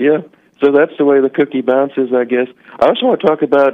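A man with a fairly high pitch and fairly even intonation speaks in a plain, everyday voice with an American accent. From US South. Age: 40s. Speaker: caller. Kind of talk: casual chat. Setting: phone call.

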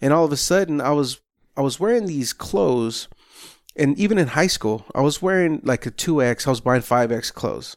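A normal speaking voice at a fairly quick pace, with lively intonation and very even loudness, on a very clean recording with a silent background. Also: man, fairly high pitch for a man. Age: 30s. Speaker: results coach, health and wellness trainer. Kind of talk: casual interview chat.

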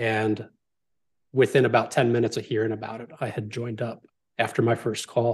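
Somewhat breathy and monotone, with flat intonation, the speaker talks at a fairly quick pace broken by long, frequent pauses. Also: man, medium pitch for a man. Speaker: podcast guest and entrepreneur. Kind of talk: casual interview chat.

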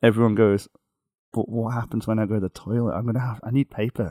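At a fairly quick pace, a man talks in a dark, mellow tone at a medium pitch, the sound dry and close with no echo. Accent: Liverpool. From northwest England (near Liverpool). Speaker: rock guitarist. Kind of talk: casual interview chat. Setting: remote call from a hotel room.

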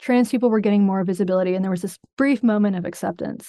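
Against a quiet background, a normal speaking voice in an American accent moves at a fairly quick pace with ordinary pitch variation. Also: woman. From US South, North Carolina. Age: 40s. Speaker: journalist and podcast host. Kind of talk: interview.

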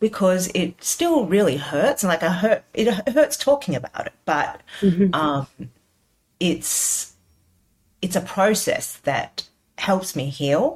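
Very slowly and somewhat breathily, a woman speaks in an Australian accent, her pitch swinging very widely. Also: medium pitch for a woman. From Sydney, Australia. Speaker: cookbook author. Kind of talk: interview conversation. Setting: video call.

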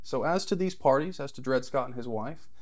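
The speaker has an American accent and talks at a very fast pace. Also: man. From Texas. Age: young. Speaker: political candidate. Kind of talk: interview.

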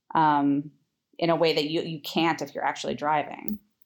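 In a Californian accent, a woman speaks at a moderate pace with a very deep, low voice and monotone, flat intonation. The recording is very clean, with a silent background. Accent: Californian American. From Los Angeles, California. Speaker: podcast host and film historian. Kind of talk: interview. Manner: hesitant, many fillers.

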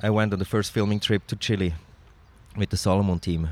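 A man with a Swiss German accent. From Switzerland (Zurich). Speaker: snowboard filmmaker and photographer. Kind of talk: casual interview. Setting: in person in Zurich.

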